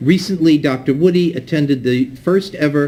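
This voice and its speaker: At a moderate pace, a somewhat breathy man with a fairly high pitch speaks with ordinary pitch variation. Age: 60s. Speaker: event moderator. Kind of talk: speaker introduction at community event.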